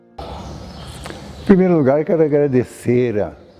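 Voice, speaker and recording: A fairly slow-paced man's voice amid noticeable background noise. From Brazil, Paraná (north). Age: 80s+. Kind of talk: testimony.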